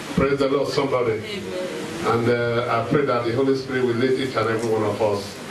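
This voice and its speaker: A man rattles off his words very fast while noticeable background noise carries on behind him. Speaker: pastor. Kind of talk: sermon. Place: hall.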